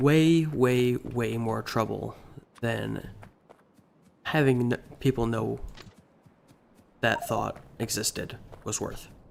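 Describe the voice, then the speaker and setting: Long, frequent pauses break up this man's speech. His pace is very slow. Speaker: game streamer. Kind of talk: casual live stream chat. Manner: halting.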